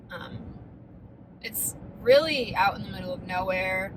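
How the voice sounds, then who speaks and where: A woman with an American accent speaks at a medium pitch and a fairly slow pace, with noticeable background noise and audible room echo. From US Midwest, Ohio (Defiance). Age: 20s. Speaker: vlogger. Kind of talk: casual vlog talk.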